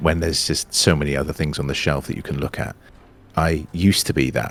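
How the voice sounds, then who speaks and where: A man speaks at a very deep, low pitch while music plays in the background. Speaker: actor. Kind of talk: interview answer. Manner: casual, chatty.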